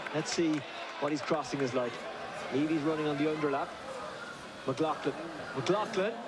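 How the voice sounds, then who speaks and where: Loud noise fills the background. The speaker pauses often and at length. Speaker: match commentator. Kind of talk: live match commentary, rapid-fire play-by-play.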